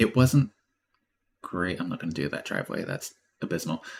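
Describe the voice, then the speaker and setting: A man with an Australian accent speaks at a fairly quick pace. His pitch sits fairly low. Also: very clean recording, silent background. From Australia, Queensland. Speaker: streamer doing satellite image processing. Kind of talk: live stream casual talk. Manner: mumbling, lazy talker; trying to talk clearly.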